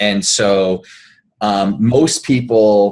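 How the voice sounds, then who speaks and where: A man is speaking. He has an American accent. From Canada. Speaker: performance coach. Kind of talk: casual interview.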